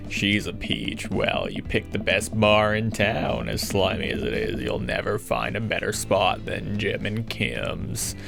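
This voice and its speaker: A man's gruff, gravelly put-on character voice at a moderate pace with hardly any pauses, over loud background noise. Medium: game stream. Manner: gruff, terse.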